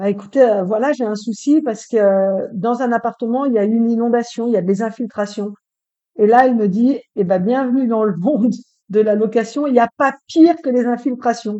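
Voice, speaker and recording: Here is a woman with a plain, everyday voice. She speaks at a fairly high pitch and moderate pace, with ordinary pitch variation. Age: 50s. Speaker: real estate rental manager. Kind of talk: casual interview.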